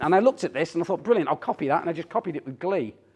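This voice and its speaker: A man with a Teesside accent speaks in a dark, mellow tone. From northern England, Teesside. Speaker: tech CEO and speaker. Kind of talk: conference talk. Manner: animated.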